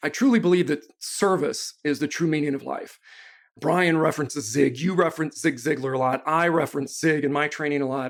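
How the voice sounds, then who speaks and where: A man with an unremarkable speaking voice talks at a fairly quick pace in a fairly high pitch with ordinary pitch variation. The recording is very clean, its background silent. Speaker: sales trainer and speaker. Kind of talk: podcast interview.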